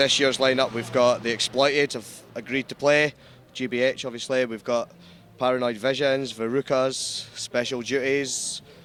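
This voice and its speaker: In a Scottish accent, the speaker talks at a moderate pace with monotone, flat intonation. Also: man. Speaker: charity gig organizer. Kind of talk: casual interview.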